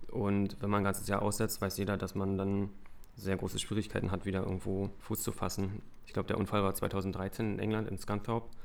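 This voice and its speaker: Here a man talks at a moderate pace in a fairly low pitch. His intonation is monotone and flat. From Brandenburg, eastern Germany. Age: 30s. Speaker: retired speedway racer and youth coach. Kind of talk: casual interview.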